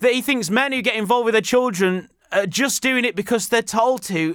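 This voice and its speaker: A man with a British accent speaks at an extremely high pitch with ordinary pitch variation. The recording is very clean, with a silent background. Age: 30s. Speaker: podcast host. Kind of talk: casual solo podcast monologue.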